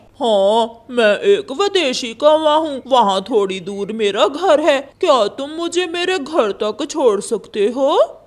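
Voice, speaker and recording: This is a cartoonish character voice pitched high. It moves at a fairly slow pace. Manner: sly, deceitful.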